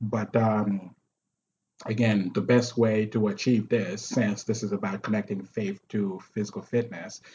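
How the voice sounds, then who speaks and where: The voice is somewhat breathy and moves at a fairly slow pace. Its intonation stays monotone and flat. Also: man. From Haiti. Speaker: martial arts instructor and personal trainer. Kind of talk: casual interview.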